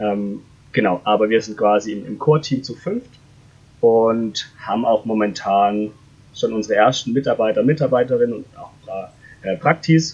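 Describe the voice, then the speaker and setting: Here a man speaks at a moderate pace in a medium pitch, with ordinary pitch variation. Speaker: startup founder. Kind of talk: interview. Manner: hesitant with many fillers.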